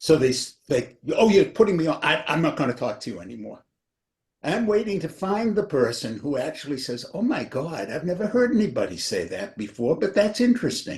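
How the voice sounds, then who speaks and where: A high-pitched man talks at a fairly quick pace, his pitch swinging very widely. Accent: New England. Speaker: author. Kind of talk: casual chat.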